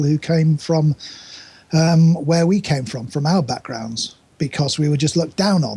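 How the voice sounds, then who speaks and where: Speaking in a northern English accent, a man has a fairly high pitch and ordinary pitch variation. His pace is moderate, and there is noticeable background noise. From northern England. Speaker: interviewee. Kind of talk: conversational, hesitant with fillers.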